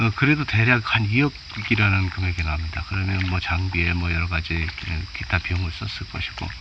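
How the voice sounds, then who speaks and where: The intonation is lively and the pace fairly quick. Background noise is noticeable. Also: man, very deep, low pitch for a man. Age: 50s. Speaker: professional bass angler. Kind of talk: casual talk to camera. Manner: halting, with many fillers; may stutter.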